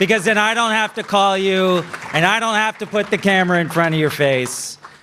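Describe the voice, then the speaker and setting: A man speaks in a raised, projected voice at a fairly quick pace, his high pitch moving with ordinary variation and his loudness staying very even. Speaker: TV transportation reporter, awards presenter. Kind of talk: awards ceremony presenting. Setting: gala stage with audience. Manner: loud, projecting; casual, conversational.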